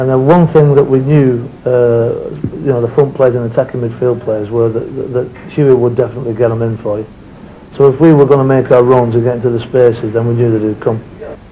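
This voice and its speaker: A man with a Lancashire accent speaks at a fairly quick pace with fairly even intonation over light background noise. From northern England, Lancashire; northern England. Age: 50s. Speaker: former footballer. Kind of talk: interview. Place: home room.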